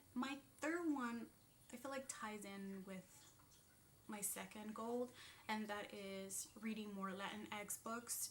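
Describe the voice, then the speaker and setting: Noticeable background noise sits behind a woman's fairly high voice with ordinary pitch variation. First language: Spanish. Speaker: booktuber. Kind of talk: casual vlog talk. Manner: hesitant, many fillers.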